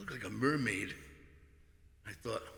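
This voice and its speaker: A man's medium-pitched voice with an American accent and lively intonation. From Fall River, Massachusetts. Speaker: singer-songwriter. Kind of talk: casual talk introducing a song.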